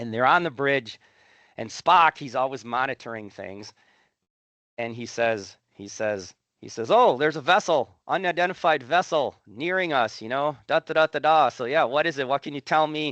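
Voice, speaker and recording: A man's fairly high-pitched voice at a moderate pace, lively intonation and big swings in loudness, dry and close with no echo, over a quiet background. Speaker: professor. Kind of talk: lecture. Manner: animated.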